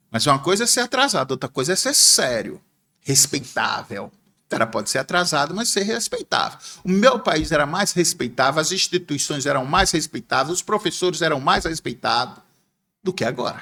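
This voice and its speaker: Here a man speaks at a moderate pace with a fairly high pitch and a bright, sharp tone. His pitch swings very widely. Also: dry, close sound with no echo. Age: 60s. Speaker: former bank clerk and businessman, political commentator. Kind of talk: podcast interview.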